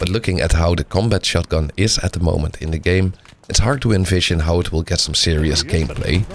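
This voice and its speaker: Speaking with a Dutch accent, a man talks at a fairly quick pace with a very deep, low pitch and ordinary pitch variation. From Netherlands. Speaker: gaming YouTuber. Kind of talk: game update preview video.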